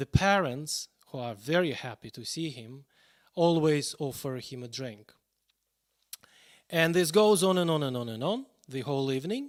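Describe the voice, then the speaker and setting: A man with a Russian accent speaks at a moderate pace in a fairly high pitch, with lively intonation, big swings in loudness, and long, frequent pauses. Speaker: pianist. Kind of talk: live stream introduction.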